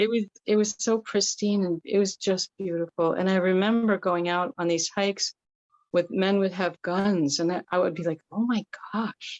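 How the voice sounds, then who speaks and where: With an ordinary speaking voice, she talks at a medium pitch for a woman. The pace is moderate, and the intonation is fairly even. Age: 60s. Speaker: workshop participant. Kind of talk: casual chat.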